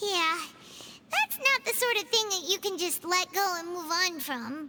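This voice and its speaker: This put-on character voice sits at an extremely high pitch. It moves along at a moderate pace. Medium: video game. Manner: lively, blunt.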